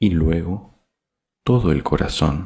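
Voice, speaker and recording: A soft-spoken man's very deep, low voice, dark and mellow with vocal fry, at a very slow pace with ordinary pitch variation. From Argentina. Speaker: voice announcer. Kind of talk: audiobook reading.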